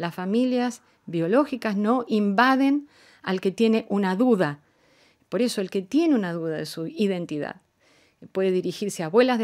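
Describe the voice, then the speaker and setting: Against a quiet background, a woman talks at a moderate pace. Her intonation is lively. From Argentina. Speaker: diplomat; guest. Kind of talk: radio interview. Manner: formal. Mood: calm, earnest, measured. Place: studio. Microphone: studio mic.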